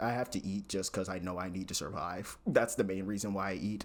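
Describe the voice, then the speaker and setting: The man here has an unremarkable speaking voice, fairly low in pitch with ordinary variation, moving at a fairly quick pace in a very clean recording with a silent background. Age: 20s. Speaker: recent computer science graduate. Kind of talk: casual talk to camera.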